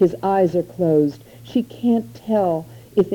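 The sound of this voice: An unforced reading voice carries ordinary variation in pitch.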